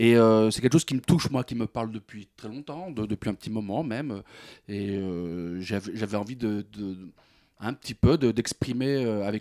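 Fairly low in pitch with a dark, mellow tone, a man speaks at a moderate pace with ordinary pitch variation and big swings in loudness. The sound is dry and close with no echo, on a very clean recording with a silent background. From France, Seine-Saint-Denis. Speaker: comedian. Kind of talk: radio interview. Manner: halting, many repetitions.

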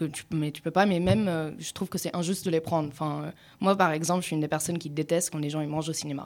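At a very fast pace, a woman with a very deep, low pitch speaks in fairly even intonation on a very clean recording with a silent background. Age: 20s. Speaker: student radio panelist. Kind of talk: casual chat.

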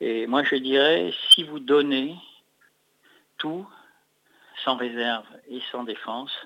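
A man's very slow speech carries ordinary pitch variation. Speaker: festival founder. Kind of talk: phone interview. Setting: phone call.

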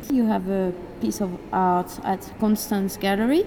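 In a French accent, a woman of medium pitch speaks at a fairly slow pace over noticeable background noise. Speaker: radio host. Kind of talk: interview. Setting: gallery.

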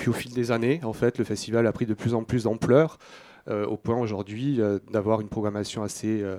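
The sound is dry and close with no echo as a man talks at medium pitch with fairly even intonation. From Toulouse, southern France. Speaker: film festival director. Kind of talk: radio interview. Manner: halting.

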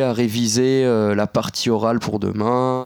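A man's fairly even intonation in a dry, close sound with no echo. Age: 20s. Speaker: visually impaired graduate. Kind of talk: personal testimony. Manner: casual, hesitant.

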